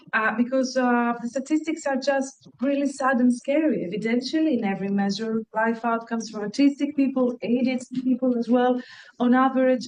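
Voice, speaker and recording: High-pitched and fairly quick, a woman's speech moves along briskly. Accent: Greek. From Greece. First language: Greek. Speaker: university researcher. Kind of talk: lecture. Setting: lecture hall with audience, also streamed online.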